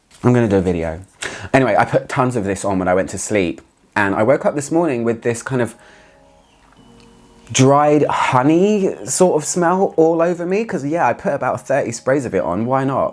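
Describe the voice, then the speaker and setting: Over music in the background, a man with a British accent and medium pitch talks at a moderate pace with very wide pitch swings. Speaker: fragrance reviewer. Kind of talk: casual talk to camera.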